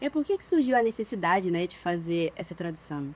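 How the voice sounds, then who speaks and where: In a dark, mellow tone, a woman speaks at a fairly quick pace. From Minas Gerais, Brazil. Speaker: interviewer. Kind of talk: interview.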